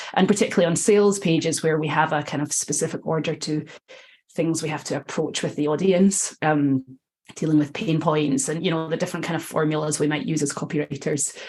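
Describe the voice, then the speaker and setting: With a Scottish accent, a woman talks at a fairly quick pace in a very deep, low pitch, her intonation fairly even. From Scotland. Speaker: copywriter and editor. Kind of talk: podcast interview. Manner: conversational with many filler ums.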